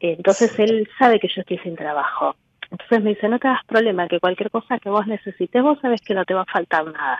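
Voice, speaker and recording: A woman with a medium pitch rattles along at a very fast pace, her pitch varying in an ordinary way. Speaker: caller. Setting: phone call.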